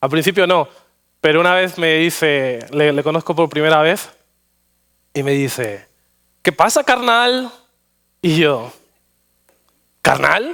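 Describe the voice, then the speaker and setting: In a Madrid accent, a man speaks at a fairly high pitch with lively intonation. His pace is very slow, with long, frequent pauses. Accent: Madrid Castilian Spanish. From Spain, Madrid. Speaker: pastor. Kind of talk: sermon. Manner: halting, frequent repetitions and fillers.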